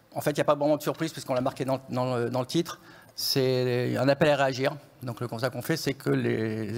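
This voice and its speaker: Here a man speaks at a medium pitch and a fairly quick pace. His intonation stays fairly even. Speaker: economist. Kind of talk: conference presentation. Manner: usually speaks softly and fast; hesitant, many fillers.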